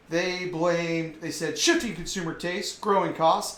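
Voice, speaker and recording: Talking at a fairly quick pace with an American accent, a man with a high pitch is heard with audible room echo. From US South. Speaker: online commentary show host. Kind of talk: casual commentary monologue; reading news aloud. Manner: animated.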